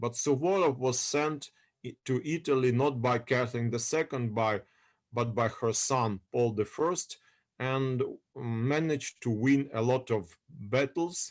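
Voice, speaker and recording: A man with a Russian accent at a fairly slow pace. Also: medium pitch for a man, ordinary pitch variation. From Odessa, Ukraine. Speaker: history lecturer. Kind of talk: lecture. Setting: video call. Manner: halting.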